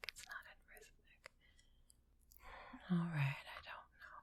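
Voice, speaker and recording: The voice is whispering. The pace is fairly slow. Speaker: composer. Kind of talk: muttering while working on audio.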